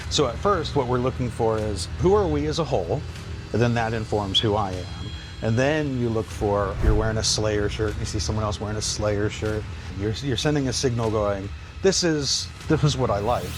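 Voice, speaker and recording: Music plays in the background, and audible room echo surrounds the voice. A man with an American accent speaks at a moderate pace in a fairly low pitch, his intonation lively. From US Midwest, Ohio. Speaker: psychology lecturer. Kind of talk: podcast interview. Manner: hesitant, many fillers.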